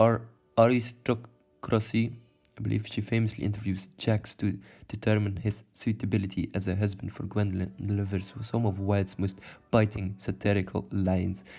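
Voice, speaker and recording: With music in the background, a man with a fairly low pitch speaks at a moderate pace in a flat, monotone way. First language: not English. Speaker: YouTuber explaining literature. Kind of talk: video explainer, partly read. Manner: halting, self-correcting; casual.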